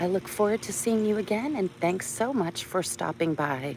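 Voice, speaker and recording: Relaxed in tone, a woman speaks at a fairly slow pace with very wide pitch swings. Noticeable background noise is present. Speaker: vlogger, doctor. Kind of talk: casual live-stream chat. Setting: outdoors on a walk.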